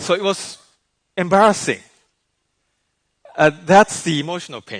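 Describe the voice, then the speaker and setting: A man's high-pitched voice with a Japanese accent, at a moderate pace with ordinary pitch variation. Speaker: life coach. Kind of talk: keynote talk. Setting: stage with audience.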